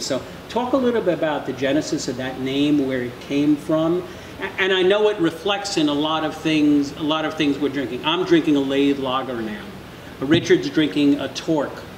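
A man speaks at a fairly quick pace with ordinary pitch variation, with audible room echo and light background noise. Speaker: podcast host. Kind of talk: interview question. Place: bar.

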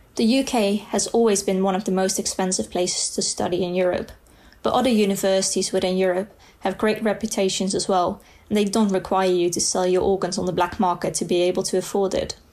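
With a Dutch accent, a woman of medium pitch talks at a fairly quick pace, keeping fairly even intonation and very even loudness. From Netherlands. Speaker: student. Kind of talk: reading aloud.

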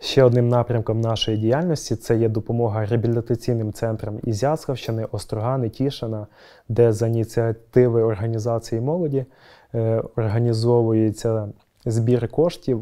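A man with a dark, mellow tone and fairly even intonation at a moderate pace, against a quiet background. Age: 20s. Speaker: youth union leader at a power plant. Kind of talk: interview. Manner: formal. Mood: calm, earnest. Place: hall. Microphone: lapel.

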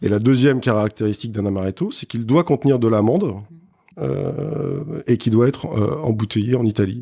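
A man with a dark, mellow tone speaks at medium pitch and a moderate pace, his intonation lively. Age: 40s. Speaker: spirits brand co-founder. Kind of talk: interview. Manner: halting, many fillers and repetitions.

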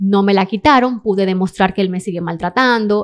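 This woman talks fairly quickly at a medium pitch, with ordinary pitch variation. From Dominican Republic. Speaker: model and interior designer; podcast guest. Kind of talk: testimony. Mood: serious, emotional personal story. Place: studio. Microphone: studio mic.

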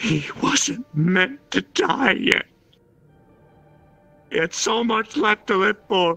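A man puts on a character voice, speaking at a high pitch and a very slow pace, with faint music in the background. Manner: grieving, vengeful.

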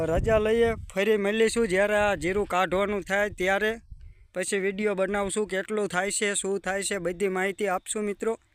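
A high-pitched man with monotone, flat intonation. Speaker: farmer and video blogger. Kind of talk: casual vlog narration. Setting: outdoors in a farm field.

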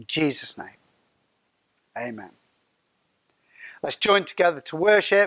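The background stays quiet. A man is talking. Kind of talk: welcome and spoken prayer. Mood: warm, prayerful. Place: hall. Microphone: lapel.

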